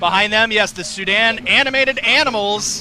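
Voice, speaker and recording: Over noticeable background noise, a man with an American accent speaks in a raised, projected voice. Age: 30s. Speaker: TV parade commentator. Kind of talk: live commentary. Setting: outdoors. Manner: animated.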